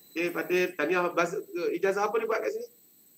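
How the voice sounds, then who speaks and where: This man talks at a fairly quick pace with a bright, sharp tone and ordinary pitch variation. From Malaysia. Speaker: head of student affairs department. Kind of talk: online briefing to new students. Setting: video call. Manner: casual, chatty. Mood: friendly, jovial. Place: office.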